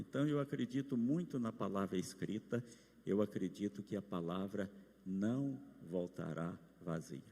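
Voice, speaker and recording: A man speaks in a dark, mellow tone. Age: 70s. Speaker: pastor. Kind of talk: sermon.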